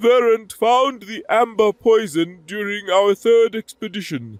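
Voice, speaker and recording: A man uses a put-on character voice pitched high. He talks at a moderate pace. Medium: read story. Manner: warm, calm.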